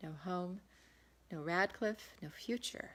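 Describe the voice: With a fairly bright tone, a woman speaks at a fairly low pitch and ordinary pitch variation.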